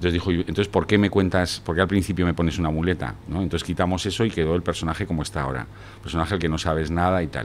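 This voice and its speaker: Over light background noise, a man with a very deep, low pitch and vocal fry speaks at a very fast pace. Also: ordinary pitch variation. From France until age 10, then Spain. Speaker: screenwriter and poet; poet. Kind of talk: casual interview chat. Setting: studio with camera. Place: bar. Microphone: studio mic.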